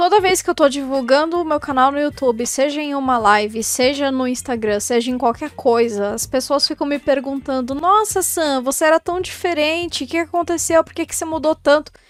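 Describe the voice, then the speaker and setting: The speaker moves at a moderate pace with hardly any pauses, ordinary pitch variation and big swings in loudness. Noticeable background noise can be heard. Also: woman. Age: 20s. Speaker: YouTuber and cosplayer. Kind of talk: casual vlog monologue.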